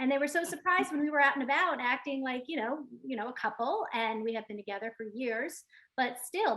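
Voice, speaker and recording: With a New York accent, a woman speaks fairly quickly in a high pitch, with ordinary pitch variation. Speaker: real estate agent. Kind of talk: panel discussion.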